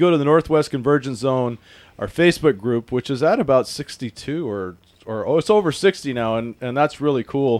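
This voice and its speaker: Against a quiet background, the sound is dry and close with no echo. A man with an American accent and fairly high pitch talks at a moderate pace. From Washington State. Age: 40s. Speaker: podcast host. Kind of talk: casual chat. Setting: studio. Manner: animated.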